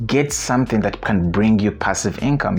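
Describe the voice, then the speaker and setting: Speaking with a non-native accent, a man uses a fairly low pitch, ordinary pitch variation and a moderate pace. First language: not English. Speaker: investing video creator. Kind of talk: casual talk to camera; casual advice talk to camera. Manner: hesitant, many filler sounds. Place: home room. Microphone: lapel.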